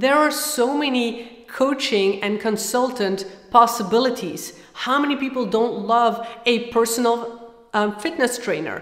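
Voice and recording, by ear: A woman talks with a fairly high pitch and a fairly bright tone. Her intonation is lively, and she makes few pauses. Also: fairly slow pace.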